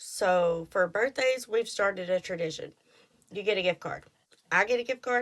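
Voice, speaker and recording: A woman with a strong Texas accent, medium pitch, ordinary pitch variation, an animated tone and a moderate pace. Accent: thick Texas. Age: 30s. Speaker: podcast host. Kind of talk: casual monologue.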